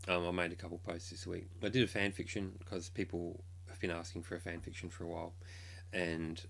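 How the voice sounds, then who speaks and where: A man's very deep, low, somewhat breathy voice in monotone, flat intonation at a moderate pace, with audible room echo. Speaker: K-pop blogger and streamer. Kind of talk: casual live stream chat. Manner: hesitant, many ums.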